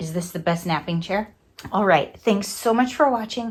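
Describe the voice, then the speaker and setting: A somewhat breathy woman's voice at a medium pitch and moderate pace, with ordinary pitch variation, in a very clean recording with a silent background. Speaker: crafting vlogger. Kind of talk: casual vlog. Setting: home craft room.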